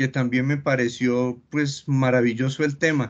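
At a very slow pace, a man speaks. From Colombia, coffee region. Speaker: cartoonist and retired chemist; interviewee. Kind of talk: interview. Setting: video call. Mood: warm, smiling. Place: home room. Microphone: video call.

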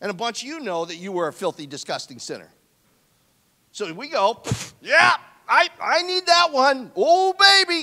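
Against a quiet background, a man's raised, projected voice hits an extremely high pitch and makes very wide pitch swings. He keeps a moderate pace with long, frequent pauses and big swings in loudness. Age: 60s. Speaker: pastor. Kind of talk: sermon. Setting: church. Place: church. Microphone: handheld.

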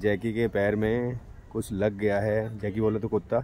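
Against light background noise, a man with a fairly low pitch speaks in a dry sound with no echo. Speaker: vlogger. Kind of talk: casual vlog chat.

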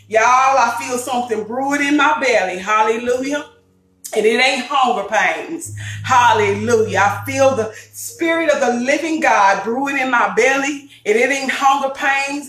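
Faint music plays in the background and audible room echo fills the space. A woman speaks at a high pitch and moderate pace with ordinary pitch variation. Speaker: cooking show host. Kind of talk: preaching intro to a cooking vlog. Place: kitchen. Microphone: phone near.

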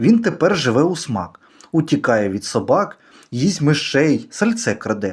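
At a fairly slow pace, a man talks in an animated, playful tone with very wide pitch swings and vocal fry. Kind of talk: poetry reading, playful children's verse read aloud. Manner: animated, rhythmic, sing-song storytelling; playful, whimsical, with shifts of tone for the cat's lines.

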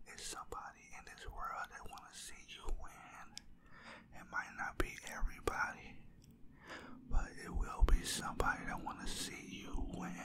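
Over loud background noise, a man whispers at a moderate pace. His voice is soft-spoken. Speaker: ASMR creator. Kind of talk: soft affirmation talk to viewer. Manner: soft close-mic ASMR whisper. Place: home room. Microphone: studio mic.

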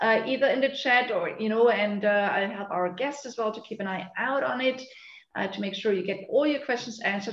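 Her speech moves at a fairly quick pace. The woman's voice carries audible room echo. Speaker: session host. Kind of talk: webinar host introduction. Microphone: video call.

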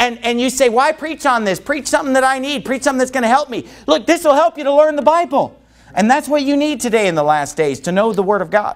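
A man talks at a very fast pace. There are hardly any pauses. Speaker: preacher. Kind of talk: sermon. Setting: church.

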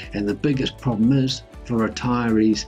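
Faint music plays in the background as a man with a New Zealand accent talks at a fairly slow pace with ordinary pitch variation. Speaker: personal finance YouTuber. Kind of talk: casual talk to camera. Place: home room.

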